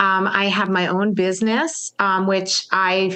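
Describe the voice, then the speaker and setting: A woman with a normal speaking voice, medium pitch and fairly slow pace. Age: 60s. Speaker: marketing consultant. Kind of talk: casual chat.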